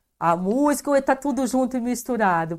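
A woman with a high-pitched, animated voice speaks at a moderate pace with lively intonation. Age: 50s. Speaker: podcast host and cultural promoter. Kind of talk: casual interview. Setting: live stream.

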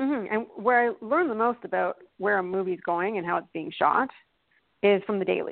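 Lively intonation runs through an unremarkable speaking voice with a Canadian accent. The pace is moderate. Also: woman, medium pitch for a woman. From Canada. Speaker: production designer. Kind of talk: interview chat. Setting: phone call.

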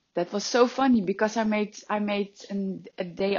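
This woman, speaking with a Dutch accent, has a fairly high pitch. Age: 30s. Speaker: life and business coach. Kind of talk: motivational monologue.

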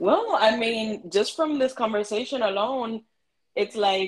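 A woman with a Miami accent at a very slow pace, medium pitch, ordinary pitch variation. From Miami, Florida (Afro-Cuban family). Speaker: community organization founder. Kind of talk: interview conversation.

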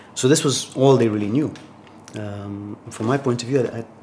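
Amid noticeable background noise, a man with a fairly low pitch speaks at a fairly quick pace with ordinary pitch variation. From Tanzania. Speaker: startup founder and CEO. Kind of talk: interview.

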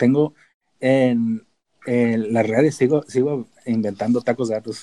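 A man with a dark, mellow tone and medium pitch speaks at a fairly slow pace with fairly even intonation, the sound dry and close with no echo. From Mexico, Tijuana. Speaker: data analyst. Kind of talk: casual chat.

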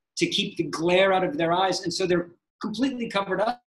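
This is a man speaking. His pitch is high. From United States. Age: 50s. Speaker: sports photographer. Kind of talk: interview.

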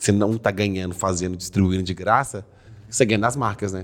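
Over a very clean recording with a silent background, a man with a Minas Gerais accent speaks fairly quickly in a fairly low, monotone voice with flat intonation. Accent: Mineiro Brazilian Portuguese. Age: 20s. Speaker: comedy content creator. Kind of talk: casual chat.

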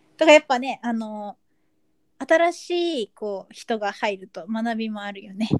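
A woman's fairly high-pitched, unremarkable speaking voice, fairly slow, with lively intonation and big swings in loudness, in a dry, close sound with no echo. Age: 20s. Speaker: podcast co-host. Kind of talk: casual chat.

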